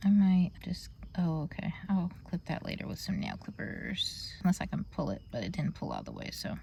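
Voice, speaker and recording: Speech moves at a fairly quick pace. Background noise is noticeable throughout. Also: woman. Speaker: beauty vlogger. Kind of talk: casual vlog tutorial. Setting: in a car.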